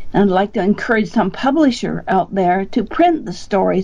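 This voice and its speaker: Lively intonation marks the woman's speech, with noticeable background noise around it. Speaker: bioacoustics researcher. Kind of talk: interview.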